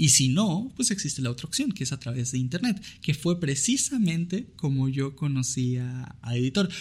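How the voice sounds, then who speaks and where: A man's somewhat breathy voice, fairly high in pitch, at a moderate pace. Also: lively intonation, hardly any pauses. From Venezuela. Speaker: podcast host. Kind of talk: casual chat. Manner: animated.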